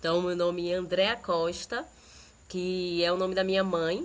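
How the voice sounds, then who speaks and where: A woman's normal speaking voice at medium pitch. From Bahia, Brazil (Candeias). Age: 30s. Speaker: dancer and audiovisual artist. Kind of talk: podcast interview. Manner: relaxed, conversational with many fillers.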